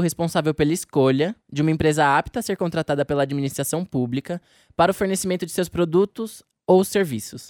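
At a very fast pace and with ordinary pitch variation, a man speaks on a very clean recording with a silent background and a dry, close sound with no echo. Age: young. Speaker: trainee journalist podcast host. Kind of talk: scripted narration.

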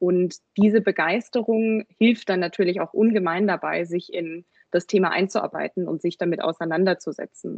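A woman's fairly low voice at a moderate pace, fairly even in intonation, with hardly any pauses. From Germany, Munich. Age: 20s. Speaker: product owner. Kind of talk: podcast interview. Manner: hesitant, many fillers.

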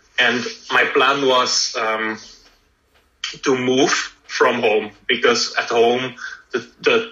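Long, frequent pauses break up a man's very slow speech. His pitch is medium. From Belgium. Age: 20s. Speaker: professional triathlete. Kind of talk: interview. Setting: remote recording during lockdown.

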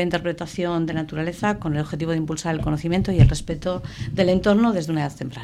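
A woman talks at a very fast pace in a fairly low pitch with ordinary pitch variation. Noticeable background noise runs behind her. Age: 50s. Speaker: municipal election candidate, teacher. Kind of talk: radio election debate.

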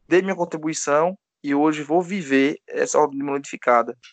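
At a moderate pace, a man talks with a fairly high pitch and ordinary pitch variation. The sound is dry and close with no echo, and the background is quiet. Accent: Pernambuco. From Pernambuco agreste, Gravatá. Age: 30s. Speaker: podcast co-host, DeMolay senior member. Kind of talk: casual chat.

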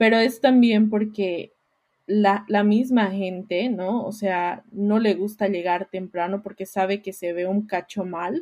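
Her delivery is very slow. The intonation she uses is fairly even. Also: medium pitch for a woman. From Bolivia, La Paz. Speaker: podcast co-host. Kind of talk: casual chat.

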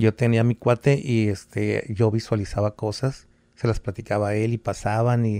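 A man's dark, mellow voice at medium pitch, dry and close with no echo, in a very clean recording over a silent background. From Veracruz, Mexico. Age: 70s. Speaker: santero and former teacher. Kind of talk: casual interview chat, storytelling.

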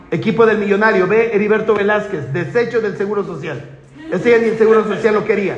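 With noticeable background noise and audible room echo, a man speaks at a high pitch. His pace is very fast. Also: ordinary pitch variation. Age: 50s. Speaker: network marketing speaker. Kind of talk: motivational talk.

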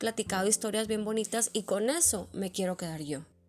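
An ordinary speaking voice, a woman with a fairly high pitch talks at a fairly quick pace with ordinary pitch variation, in a very clean recording with a silent background. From Mexico, Monterrey. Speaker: podcast host. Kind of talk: personal storytelling monologue.

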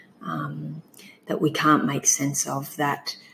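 A woman with an Australian accent, very deep and low in pitch, at a very slow pace. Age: 40s. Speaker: bereaved mother sharing her miscarriage story. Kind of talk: testimony.

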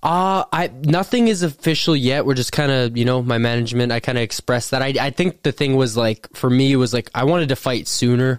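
Speaking at a fairly quick pace with hardly any pauses, a man with an unremarkable speaking voice keeps a medium pitch, ordinary pitch variation and very even loudness in a dry, close sound with no echo. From Thunder Bay, Canada. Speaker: professional MMA fighter. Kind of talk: casual podcast chat.

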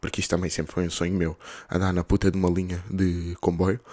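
With a Lisbon accent, a man speaks at a very fast pace in an animated tone and a very deep, low pitch. The recording is very clean, with a silent background. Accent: European Portuguese, Lisbon. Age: 20s. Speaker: podcaster, university student. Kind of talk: casual solo monologue. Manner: animated, slangy.

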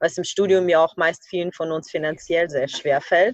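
Recorded dry and close with no echo, a woman talks at a moderate pace in a normal speaking voice, fairly low in pitch and with fairly even intonation. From Ukraine. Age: 20s. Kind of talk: podcast interview.

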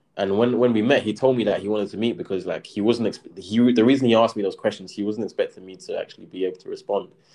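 In a London accent, the speaker races along very fast with hardly any pauses and a dark, mellow tone. Loudness swings widely while pitch varies in an ordinary way. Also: man, medium pitch for a man. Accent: London English (Multicultural London English). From south London (Brixton). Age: 20s. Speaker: property developer and crypto entrepreneur. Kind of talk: casual interview. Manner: hesitant, many fillers.

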